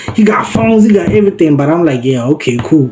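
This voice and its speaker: With music playing behind him, a man talks at a fairly quick pace. His tone is animated, and his pitch swings very widely. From South Africa, Limpopo. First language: Sepedi. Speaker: vlogger. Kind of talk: storytime.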